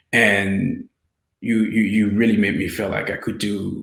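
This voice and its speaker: With a French accent, a man talks at a moderate pace and a fairly low pitch. Audible room echo surrounds his voice. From France (Paris), Haitian descent. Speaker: filmmaker and interviewer. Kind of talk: casual interview.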